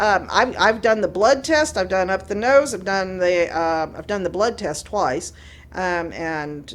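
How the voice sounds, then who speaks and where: A woman talks at a fairly slow pace in an ordinary speaking voice. Her intonation is lively. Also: medium pitch for a woman. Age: 60s. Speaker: cannabis advocacy group representative. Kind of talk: casual chat. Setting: studio.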